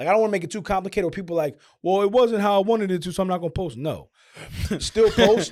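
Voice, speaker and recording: Very fast and animated, the voice shows ordinary pitch variation in a very clean recording with a silent background. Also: man, high pitch for a man. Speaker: podcast host. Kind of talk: casual chat.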